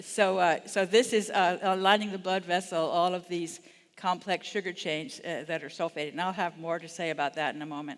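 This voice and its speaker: A very clean recording with a silent background, at a fairly quick pace. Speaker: conference speaker. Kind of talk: lecture. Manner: fast.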